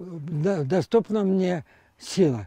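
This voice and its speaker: Here a man speaks with a high pitch and a dark, mellow tone, his intonation lively. The sound is dry with no echo, and the background is quiet. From Ukraine. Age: 80s+. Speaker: amateur tennis player. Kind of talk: interview; interview answer. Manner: halting. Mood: warm, hopeful. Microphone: lapel.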